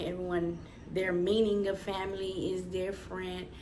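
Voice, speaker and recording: In audible room echo, a woman talks at a moderate pace. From US South. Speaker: podcast co-host. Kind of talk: casual chat. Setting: at home, baby napping in next room.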